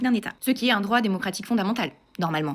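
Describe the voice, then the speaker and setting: The speaker is a woman. She talks at a very fast pace. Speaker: political commentator vlogger. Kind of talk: political monologue to camera. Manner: sarcastic, emphatic.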